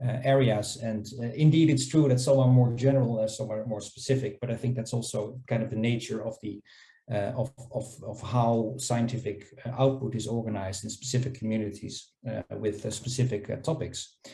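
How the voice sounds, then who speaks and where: A man speaks at a fairly quick pace with a non-native accent, his pitch medium. His tone is dark and mellow and somewhat breathy. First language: not English. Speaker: scholarly publishing panelist. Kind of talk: panel discussion. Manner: halting, many fillers and repetitions.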